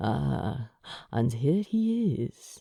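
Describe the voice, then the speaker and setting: A put-on character voice sits at a low-to-middle pitch. It has a rumbling quality. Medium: read story. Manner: suave, amused, courteous.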